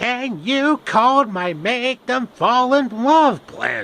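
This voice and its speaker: A man uses a put-on character voice pitched extremely high, speaking very slowly. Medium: solo performance.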